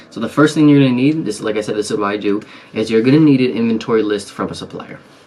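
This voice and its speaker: The speech moves at a very fast pace with ordinary pitch variation. Noticeable background noise sits behind it. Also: man. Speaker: online seller and business YouTuber. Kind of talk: tutorial. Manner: soft-spoken, talking low to stay quiet; casual with many fillers.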